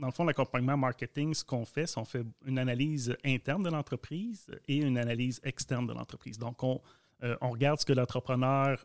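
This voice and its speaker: A man talks fairly quickly in a plain, everyday voice at medium pitch with fairly even intonation, his sound dry and close with no echo on a very clean recording with a silent background. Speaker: communications officer, co-host. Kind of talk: casual interview chat.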